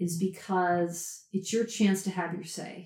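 Using a normal speaking voice, a woman talks at a moderate pace and a medium pitch. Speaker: writing teacher and storyteller. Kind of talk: interview conversation.

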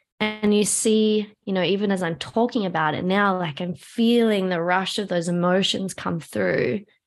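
With a quiet background, a woman talks in a plain, everyday voice at medium pitch and a moderate pace, with ordinary pitch variation and hardly any pauses. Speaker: somatic trauma educator and practitioner. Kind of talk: personal story interview.

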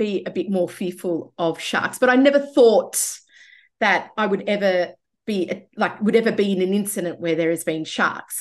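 The background stays quiet. A woman talks, her pitch varying in an ordinary way. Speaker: IT business owner. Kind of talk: interview. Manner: halting.

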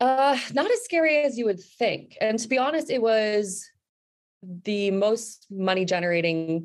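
With an American accent, this is an ordinary speaking voice at a moderate pace with lively intonation. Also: woman. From New Jersey. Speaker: marketing consultant, business owner. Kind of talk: interview.

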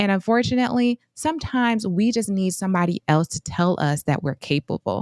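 A woman with an American accent talks at a fairly quick pace in a plain, everyday voice with lively intonation, on a very clean recording with a silent background and a dry, close sound with no echo. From US Midwest, Flint, Michigan. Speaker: physician and finance podcast co-host. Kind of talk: casual chat.

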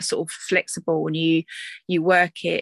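Recorded with a dry, close sound with no echo and a quiet background, a woman talks at a moderate pace with a slight Essex accent. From Essex, England. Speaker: doula and course facilitator. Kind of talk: casual interview chat.

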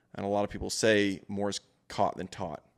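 A man with an ordinary speaking voice talks at a fairly quick pace in a fairly low pitch. The recording is very clean, with a silent background, and sounds dry and close with no echo. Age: 20s. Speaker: entrepreneur and father. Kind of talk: casual chat. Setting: studio.

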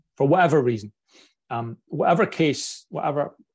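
This man has a strong Scottish accent and a somewhat breathy voice, with ordinary pitch variation. He speaks at a moderate pace over a quiet background. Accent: broad Scottish. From Scotland. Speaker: podcast host. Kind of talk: casual interview chat.

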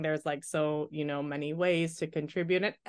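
A woman with an American accent at a moderate pace, fairly even intonation, and a quiet background. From US Midwest (small town in Michigan). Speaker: physician, infectious disease specialist. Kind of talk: interview.

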